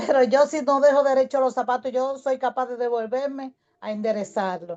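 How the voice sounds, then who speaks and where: A woman's high voice with a dark, mellow tone, ordinary pitch variation and a moderate pace, over a quiet background. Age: 60s. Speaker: audience participant. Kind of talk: personal testimony.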